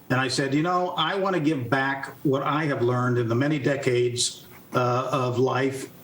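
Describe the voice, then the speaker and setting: Fairly high male speech with noticeable background noise and audible room echo. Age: 60s. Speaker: retired army general, author and speaker. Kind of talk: interview.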